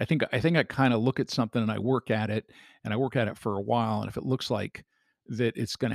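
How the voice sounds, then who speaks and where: A man with a medium-pitched voice and some vocal fry speaks in a fairly even tone, recorded dry and close with no echo, very clean, over a silent background. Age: 60s. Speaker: retired entrepreneur, father on family podcast. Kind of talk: casual chat. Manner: halting, many restarts.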